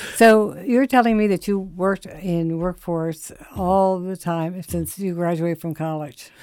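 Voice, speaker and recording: The delivery is fairly slow with hardly any pauses and ordinary pitch variation. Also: woman, fairly low pitch for a woman. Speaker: radio host. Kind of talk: radio interview. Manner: halting.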